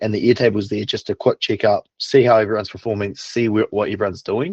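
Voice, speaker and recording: A fairly low-pitched man with a New Zealand accent at a fairly quick pace, in a dry, close sound with no echo. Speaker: online business operator, client. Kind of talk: client testimonial interview.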